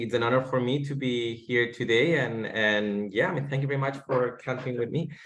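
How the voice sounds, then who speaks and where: A man with a Spanish accent, medium pitch, fairly even intonation and a moderate pace. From Spain. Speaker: gaming startup co-founder. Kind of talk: webinar talk. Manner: halting, many fillers.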